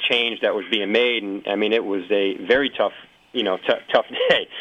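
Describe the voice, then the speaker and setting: Over noticeable background noise, a man speaks with a fairly low pitch and an American accent. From Massachusetts. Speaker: athletic trainer. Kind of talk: casual chat. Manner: halting, many repetitions.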